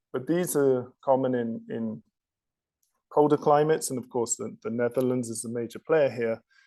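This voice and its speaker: With a British accent, this man talks at a medium pitch in a dark, mellow tone, the sound dry and close with no echo. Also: ordinary pitch variation, moderate pace. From United Kingdom. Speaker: technology company executive. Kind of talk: technical presentation. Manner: repetitive stammering on words.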